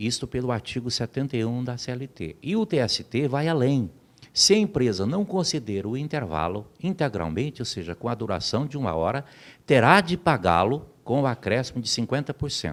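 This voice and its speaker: A man with a medium-pitched voice and some vocal fry talks at a moderate pace, his pitch swinging very widely, on a very clean recording with a silent background. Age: 60s. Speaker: labor lawyer. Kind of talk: interview. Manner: formal.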